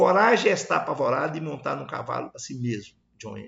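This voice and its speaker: His fairly high voice carries vocal fry and very wide pitch swings as this man talks. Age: 70s. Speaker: agronomist presenting a project. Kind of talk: presentation. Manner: halting.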